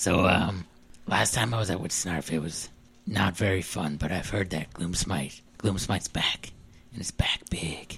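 A raspy, whispering put-on character voice at a fairly slow pace. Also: man. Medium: actual play. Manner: rambling, casual, over-eager.

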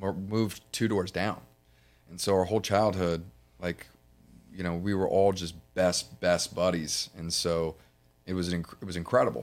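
On a very clean recording with a silent background, a man with an American accent and a very deep, low pitch speaks at a moderate pace, with fairly even intonation and long, frequent pauses. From Florida, Fort Myers. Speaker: insurance business owner. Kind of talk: interview.

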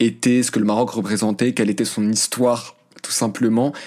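Here a man talks in a medium-pitched voice with monotone, flat intonation. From France, of Moroccan parents. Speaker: journalist and podcaster. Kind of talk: interview. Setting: remote call. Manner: hesitant, many fillers.

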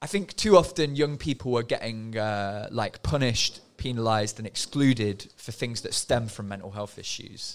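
Here is a man with a normal speaking voice at medium pitch and a moderate pace. Pitch variation is ordinary, and the recording is very clean with a silent background. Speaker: former project manager at a youth music studio. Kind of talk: casual podcast chat.

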